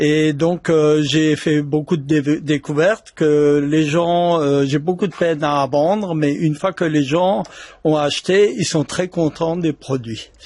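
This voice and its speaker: A man's fairly high voice at a very slow pace, with very even loudness. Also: fairly even intonation. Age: 60s. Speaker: retiree, wellness product seller. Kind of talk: casual interview.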